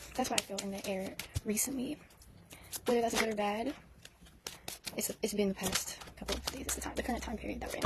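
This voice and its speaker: Through noticeable background noise, a woman with a fairly high pitch talks at a very fast pace with fairly even intonation. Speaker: tarot reader. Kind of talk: tarot reading monologue. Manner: halting, repeats words; casual, filler-heavy.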